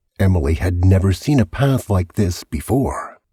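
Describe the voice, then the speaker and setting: Somewhat breathy and dark, mellow in tone, the voice moves at a fairly slow pace with lively intonation, in a dry, close sound with no echo. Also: man. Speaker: voice actor. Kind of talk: audiobook narration, suspense thriller. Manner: gripping, suspenseful.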